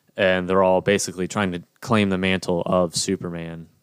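Over a very clean, silent background with a dry, close sound and no echo, a man speaks in a very deep, low voice at a moderate pace with monotone, flat intonation. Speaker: podcast host. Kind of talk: casual banter podcast chat. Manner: joking, talkative.

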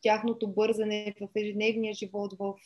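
A woman with a fairly high voice talks at a moderate pace in a dark, mellow tone. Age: 30s. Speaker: psychology student and Chinese translator. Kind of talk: interview.

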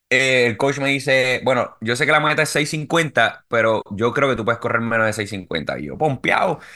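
Against a quiet background, a man with a bright, sharp tone speaks at medium pitch and a moderate pace, with ordinary pitch variation and hardly any pauses. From Puerto Rico. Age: 30s. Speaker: amateur marathon runner. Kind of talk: casual interview.

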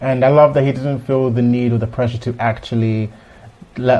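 His intonation is flat and monotone. The man's pitch is medium. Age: 20s. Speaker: podcast co-host. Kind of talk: casual chat.

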